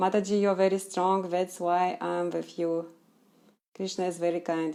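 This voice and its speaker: Heard in a very clean recording with a silent background, a woman with a Russian accent speaks at a moderate pace in a fairly low, dark, mellow voice with monotone, flat intonation. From Russia, Chelyabinsk. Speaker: Krishna devotee. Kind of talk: live Q&A stream. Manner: halting.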